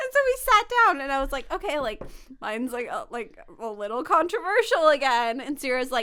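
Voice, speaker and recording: A woman speaks in a raised, projected voice at a fairly quick pace. Her high pitch swings very widely, and her tone is bright and sharp. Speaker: podcast co-host. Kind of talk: casual chat.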